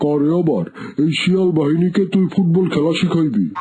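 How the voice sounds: A cartoonish character voice at a middle pitch speaks at a moderate pace. Clear background noise is audible.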